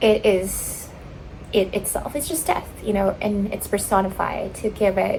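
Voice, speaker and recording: A woman's voice with a slight Filipino accent, amid noticeable background noise. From Philippines. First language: Tagalog. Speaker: writer and vlogger. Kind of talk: casual vlog, reading feedback aloud. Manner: animated; halting.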